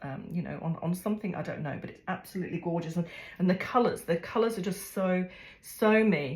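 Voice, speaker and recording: A woman speaks at a fairly low pitch with ordinary pitch variation. Her voice sounds somewhat breathy. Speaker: craft video creator. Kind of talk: unboxing vlog. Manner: halting, many fillers.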